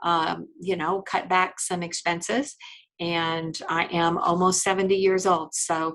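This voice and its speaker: A woman with an American accent speaks in a fairly low pitch. Her delivery is monotone and flat, at a fairly slow pace. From Indiana, US Midwest. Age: 60s. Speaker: attorney. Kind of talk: podcast interview. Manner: conversational, many fillers.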